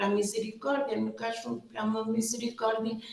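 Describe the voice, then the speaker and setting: A woman's fairly high voice in a European Portuguese accent at a moderate pace, with audible room echo and noticeable background noise. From Portugal, Viseu region. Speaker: superior general of a religious order. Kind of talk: interview. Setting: exhibition room.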